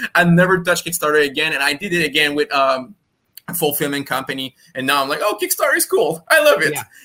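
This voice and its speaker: A man's very fast, fairly high-pitched speech in a bright, sharp tone with fairly even intonation. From France. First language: French. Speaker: comics publisher and editor. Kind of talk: interview.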